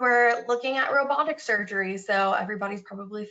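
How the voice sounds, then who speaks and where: A woman with an ordinary speaking voice talks at a moderate pace in a medium pitch. Her intonation is fairly even. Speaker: regulatory consultant, webinar presenter. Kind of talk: webinar presentation. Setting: online webinar.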